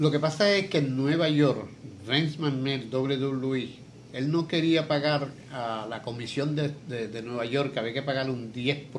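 Audible room echo around fairly slow speech of ordinary pitch variation. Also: man, fairly high pitch for a man. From Puerto Rico, San Lorenzo. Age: 70s. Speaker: retired professional wrestler. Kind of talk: interview.

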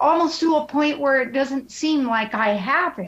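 Her pitch is high and her tone fairly bright. The woman speaks at a fairly slow pace with ordinary pitch variation.

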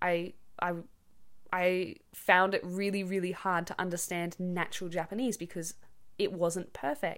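Recorded very cleanly against a silent background, a woman with an Australian accent speaks at a medium pitch with fairly even intonation. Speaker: podcast host for English learners. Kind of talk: casual monologue, natural English for learners. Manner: casual, many filler words.

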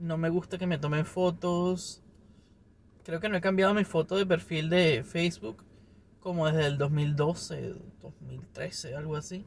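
Pitched high for a man, his voice shows ordinary variation. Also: fairly slow pace. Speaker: video podcaster. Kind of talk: casual solo monologue. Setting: recording himself on camera.

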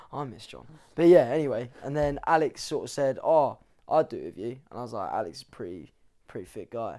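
On a very clean recording with a silent background, a man talks at a fairly quick pace with an English accent. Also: big swings in loudness. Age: 20s. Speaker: fitness coach. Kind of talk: casual chat.

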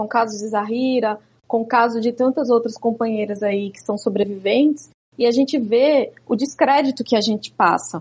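Speaking at a moderate pace, a woman with a fairly high pitch has a somewhat breathy voice and ordinary pitch variation. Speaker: jurist and activist. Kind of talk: interview conversation.

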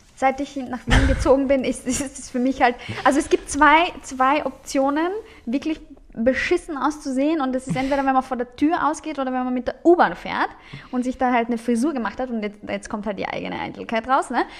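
A woman with a Bulgarian accent speaks at a fairly quick pace and a high pitch, with noticeable background noise behind her. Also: ordinary pitch variation. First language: Bulgarian (speaking German). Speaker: author and social media creator. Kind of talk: casual chat.

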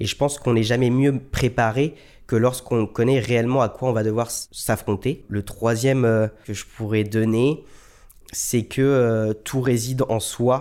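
In a very clean recording with a silent background, a man of medium pitch speaks fairly slowly in a flat, monotone way. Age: 20s. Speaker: lung transplant recipient and marathon runner. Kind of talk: testimony. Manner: hesitant, many fillers.

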